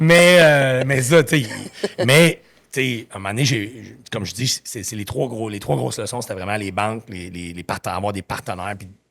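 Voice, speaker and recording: Animated in tone, a man speaks at a medium pitch with lively intonation and big swings in loudness. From Quebec. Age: 50s. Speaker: entrepreneur. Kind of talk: podcast interview. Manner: fast.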